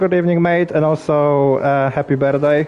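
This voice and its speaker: A man with a non-native accent at a moderate pace, amid noticeable background noise. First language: not English. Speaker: sim racing league commentator. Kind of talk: live commentary. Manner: halting, repeats words; casual, relaxed.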